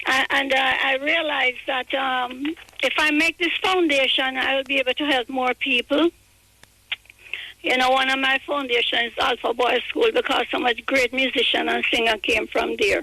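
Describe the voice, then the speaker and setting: A woman speaks in a raised, projected voice at a high pitch, with ordinary pitch variation. Her loudness stays very even, and the sound is dry and close with no echo. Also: moderate pace. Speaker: reggae record label veteran and author. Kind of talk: interview. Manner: halting.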